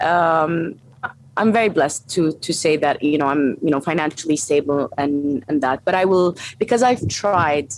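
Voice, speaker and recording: A woman with an Arabic accent, very deep and low in pitch, with lively intonation at a moderate pace. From Saudi Arabia (Egyptian family). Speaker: strength and conditioning coach. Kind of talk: interview conversation.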